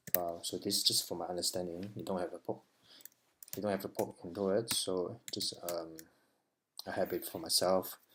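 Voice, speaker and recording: Speaking at a moderate pace with a non-native accent, a man uses a very deep, low voice with monotone, flat intonation and long, frequent pauses. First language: not English. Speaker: web developer learner. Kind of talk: tutorial. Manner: halting.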